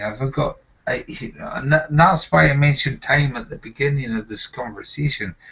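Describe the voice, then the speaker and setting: Speaking with a Scottish accent at a moderate pace, a man uses lively intonation. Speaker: nurse. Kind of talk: casual chat. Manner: halting.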